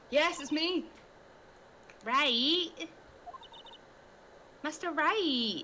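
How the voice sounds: A put-on character voice pitched high. Background noise is clearly audible.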